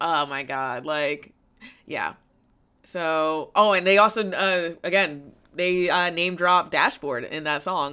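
A woman with a fairly low, bright, sharp voice speaks at a very slow pace on a very clean recording with a silent background. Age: 20s. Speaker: podcast co-host. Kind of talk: casual chat.

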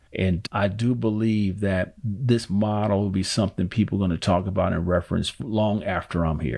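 A man with a West Coast accent, fairly low-pitched, at a moderate pace with hardly any pauses and fairly even intonation. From Oakland, California. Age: 50s. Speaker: financial literacy educator. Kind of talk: interview.

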